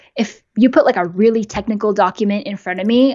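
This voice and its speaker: Speaking at a fairly quick pace with a Californian accent, a woman keeps a medium pitch and ordinary pitch variation. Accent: Californian American English. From California, US. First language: bilingual Japanese and English. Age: 20s. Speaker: YouTube creator and software engineer. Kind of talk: casual interview. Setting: live stream.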